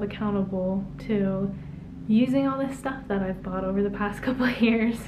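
The voice shows ordinary pitch variation, with noticeable background noise behind it. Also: woman. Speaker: YouTube vlogger. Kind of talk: casual vlog monologue. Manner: casual, conversational. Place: home room. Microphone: camera far.

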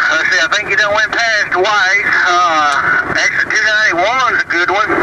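Over loud background noise, a man with a high pitch uses a raised, projected voice at a moderate pace, ordinary pitch variation and a dry sound with no echo. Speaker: truck driver. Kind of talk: casual CB radio chat. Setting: CB radio. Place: car. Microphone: camera far.

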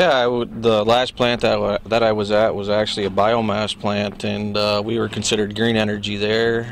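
A man with an American accent speaks at a moderate pace with hardly any pauses, in a fairly low pitch and monotone, flat intonation. The sound is dry with no echo, over light background noise. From northern New York. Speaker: wind farm worker. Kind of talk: casual interview. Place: open country. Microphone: handheld.

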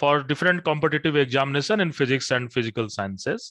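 A man's voice swings very widely in pitch, with a dry sound, no echo and a quiet background. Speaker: coaching institute teacher. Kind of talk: announcement to students. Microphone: headset.

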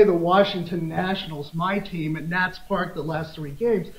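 Audible room echo surrounds a man talking at a fairly quick pace. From US Midwest, Des Moines, Iowa; Iowa. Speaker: law professor. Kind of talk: conference lecture. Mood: lively anecdote, humorous. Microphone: podium.

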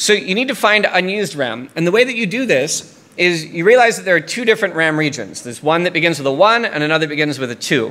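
Talking at a very fast pace with an American accent, a man speaks at a high pitch with very wide pitch swings. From US South, Tennessee. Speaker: security researcher; conference speaker. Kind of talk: conference talk. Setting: stage with audience. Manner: frequent fillers (um, uh). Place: hall. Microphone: podium.

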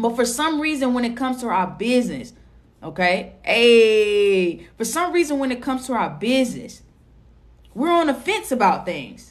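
A woman speaks in an animated tone with a high pitch and very wide pitch swings. Her pace is moderate. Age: 30s. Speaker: social media marketing coach. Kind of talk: livestream sales pitch. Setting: livestream. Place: home room. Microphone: phone near.

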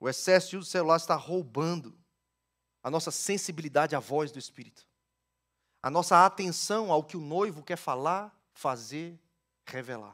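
A man's fairly high voice at a moderate pace, with ordinary pitch variation, long, frequent pauses and big swings in loudness against a quiet background. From Brazil, Ceará (Northeast). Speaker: pastor. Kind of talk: sermon. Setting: church. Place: church. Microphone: headset.

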